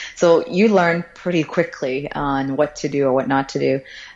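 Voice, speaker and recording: A woman with an American accent has a very deep, low pitch. Her pitch variation is ordinary. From Florida, US (born in China). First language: Chinese. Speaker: tech company CEO. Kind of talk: interview.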